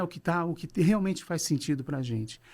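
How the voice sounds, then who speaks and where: Lively intonation and a fairly high pitch mark this man's ordinary speaking voice at a moderate pace. The recording is very clean, with a silent background. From Brazil, São Paulo. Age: 60s. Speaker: business consultant and coach. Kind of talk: podcast interview. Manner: relaxed conversational.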